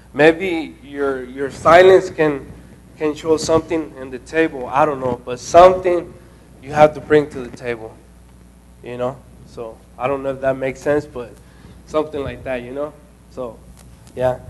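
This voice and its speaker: Over noticeable background noise, a man with a fairly high pitch talks at a moderate pace with fairly even intonation, big swings in loudness, and long, frequent pauses. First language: not English. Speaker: intern presenting at a training session. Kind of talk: group talk at a training session. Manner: halting, many fillers and restarts.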